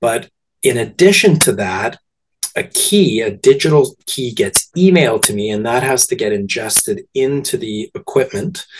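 A man speaks at a moderate pace in a medium-pitched, somewhat breathy voice. His pitch swings very widely. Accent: Canadian. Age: 40s. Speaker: movie theatre owner. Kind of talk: interview.

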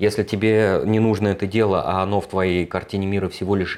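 A fairly low-pitched male voice on a very clean recording with a silent background. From Moscow, Russia. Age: 40s. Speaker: productivity trainer, ex-software developer. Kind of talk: casual interview chat.

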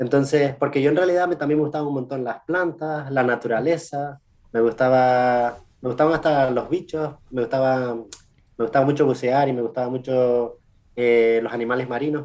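A man talks with a plain, everyday voice at medium pitch. His pace is moderate and his intonation fairly even. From Canary Islands, Spain. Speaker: scientist. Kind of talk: interview.

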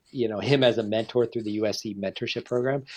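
A man with an American accent has a plain, everyday voice. His medium pitch keeps fairly even intonation over a quiet background. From California, San Diego area. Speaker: cinematographer. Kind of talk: casual interview.

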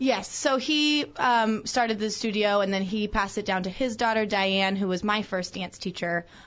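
A woman with a normal speaking voice at a moderate pace, with ordinary pitch variation. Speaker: dance studio owner. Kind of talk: live radio interview.

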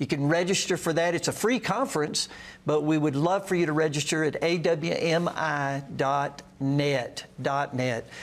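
A man with an unremarkable speaking voice talks fairly slowly at a fairly high pitch, with ordinary pitch variation and very even loudness. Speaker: pastor. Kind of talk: live call-in show. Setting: studio.

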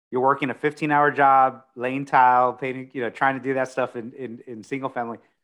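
Speaking at medium pitch, a man keeps a monotone, flat intonation. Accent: Texan. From Texas, Corpus Christi. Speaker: commercial real estate broker. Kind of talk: interview. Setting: live stream interview.

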